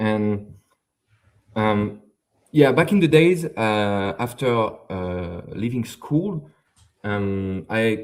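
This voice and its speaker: Speaking with a French accent, a man lets his pitch swing very widely. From France. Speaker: software developer. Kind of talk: live stream interview. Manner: hesitant, many fillers and repetitions.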